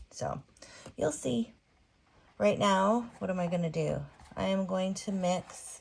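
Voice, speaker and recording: A woman's calm, gentle tone, somewhat breathy, at a very slow pace with long, frequent pauses. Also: medium pitch for a woman, ordinary pitch variation. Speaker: resin artist. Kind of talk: tutorial. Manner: calm, gentle pace; casual, chatty.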